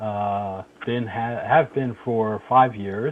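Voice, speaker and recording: The pitch varies in an ordinary way in an unremarkable speaking voice. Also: man. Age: 60s. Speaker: retired HVAC tradesman. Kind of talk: casual chat.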